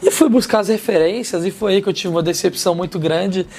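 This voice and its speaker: Over noticeable background noise, a man with a high voice speaks at a moderate pace with fairly even intonation. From Minas Gerais interior, Brazil. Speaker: martial arts teacher and former MMA fighter. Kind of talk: interview chat.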